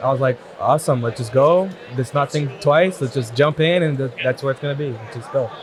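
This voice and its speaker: A man with a medium pitch talks at a fairly quick pace. His pitch variation is ordinary, and there is noticeable background noise. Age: young. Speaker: tax preparer. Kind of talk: casual interview.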